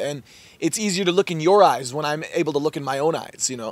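At a fairly quick pace, a man speaks in a fairly high pitch with ordinary pitch variation, the sound dry with no echo. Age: 20s. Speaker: mindset coach. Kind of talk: casual interview. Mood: warm, earnest, reflective. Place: garden.

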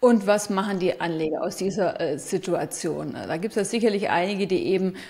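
At a fairly quick pace, a woman talks with a slightly mellow tone.

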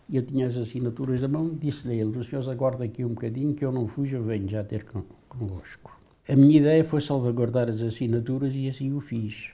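Speaking very fast at a medium pitch, a man uses a dark, mellow, somewhat breathy tone with fairly even intonation. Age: 80s+. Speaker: former political prisoner. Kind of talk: testimony. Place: home room. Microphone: lapel.

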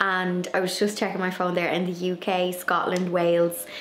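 A woman's fairly low, monotone voice with flat intonation at a moderate pace, amid audible room echo and light background noise. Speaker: garden vlogger. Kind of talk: casual vlog chat. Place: home room. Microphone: phone near.

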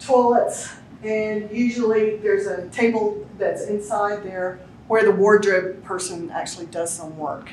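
A woman talks at a fairly slow pace with fairly even intonation. Light background noise and audible room echo are present. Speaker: tour guide. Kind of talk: guided tour explanation. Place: hall. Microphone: camera far.

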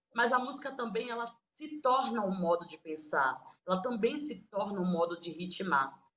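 A woman speaks at a moderate pace in a medium pitch. Her pitch swings very widely, and her loudness rises and falls in big swings. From Bahia, Recôncavo region; Bahia, Brazil. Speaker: singer-songwriter. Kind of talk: interview. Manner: halting. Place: home room. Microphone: phone near.

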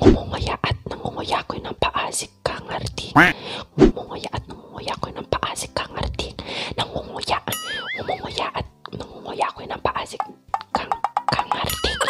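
Someone whispers at a moderate pace with music in the background. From Philippines. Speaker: makeup vlogger. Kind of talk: ASMR tongue twister challenge. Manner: whispered. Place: home room. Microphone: studio mic.

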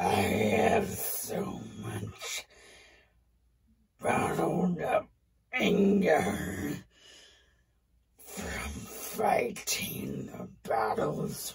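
In a put-on character voice, a woman speaks very slowly with a raspy, very deep, low pitch. Her tone is menacing. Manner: menacing, contemptuous.

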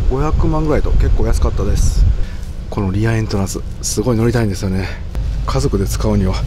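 Over music in the background, a man talks at a very fast pace in a dry sound with no echo. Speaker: camper van vlogger. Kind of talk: casual vlog chat. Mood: excited, upbeat. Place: street. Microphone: phone near.

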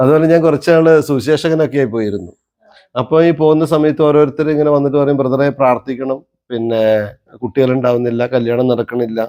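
A man's dark, mellow voice at medium pitch with ordinary pitch variation. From Kerala, Wayanad. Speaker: travel vlogger. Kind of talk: casual chat.

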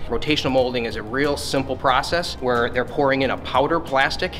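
Clear music sounds in the background as a man talks at a fairly quick pace. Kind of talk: product explanation. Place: gym.

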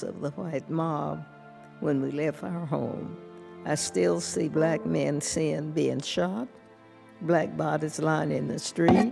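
A woman talks very slowly over clear background music. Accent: American. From Tulsa, Oklahoma. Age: 80s+. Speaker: massacre survivor. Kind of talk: congressional testimony. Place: hall. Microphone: podium.

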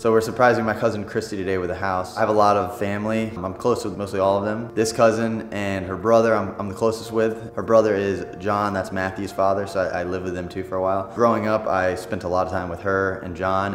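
A man's very fast, monotone, flat delivery with hardly any pauses, audible room echo and faint music in the background. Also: fairly low pitch for a man. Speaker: vlogger. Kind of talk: casual vlog chat. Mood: warm, reminiscing about family. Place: home room.

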